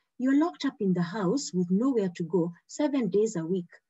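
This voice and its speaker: A woman's dark, mellow, somewhat breathy voice, fairly quick, with very wide pitch swings. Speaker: medical exam tutor. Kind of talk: online training lecture. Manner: fast; animated.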